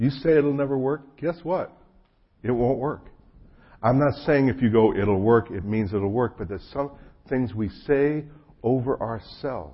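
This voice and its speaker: Speaking at a moderate pace with an American accent, a man with a medium-pitched, somewhat breathy voice uses ordinary pitch variation and takes long, frequent pauses. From New Jersey. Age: 50s. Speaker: pastor. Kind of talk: sermon. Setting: church gathering with audience.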